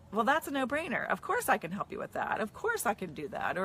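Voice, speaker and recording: Against noticeable background noise, a woman talks at a very fast pace in an animated tone. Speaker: marketing coach. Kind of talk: casual vlog talking to camera.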